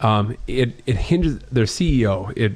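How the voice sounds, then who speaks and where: A man with a Wisconsin accent at a medium pitch and a very slow pace. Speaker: podcast co-host. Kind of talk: casual chat.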